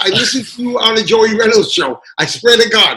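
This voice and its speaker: A man's high, raised, projected voice with lively intonation. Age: 70s. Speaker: school principal. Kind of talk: casual chat.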